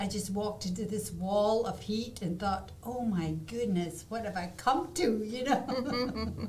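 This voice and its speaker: At a fairly slow pace but with hardly any pauses, a woman with a fairly high pitch talks amid noticeable background noise and audible room echo. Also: ordinary pitch variation. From Scotland, Aberdeen. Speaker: artist. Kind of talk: interview. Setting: studio.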